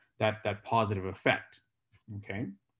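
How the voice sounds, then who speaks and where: A man speaks with fairly low pitch and an ordinary speaking voice. The background is quiet. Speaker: physician giving a medical talk. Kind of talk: lecture.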